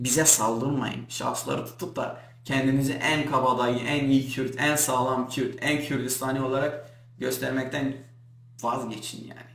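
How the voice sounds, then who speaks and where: In an animated tone with a Kurdish accent, a man at medium pitch speaks at a fairly slow pace, with audible room echo and noticeable background noise. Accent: Kurdish accent in Turkish. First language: Kurdish (speaking Turkish). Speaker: Kurdish YouTuber. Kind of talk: vlog rant to camera. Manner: animated, indignant.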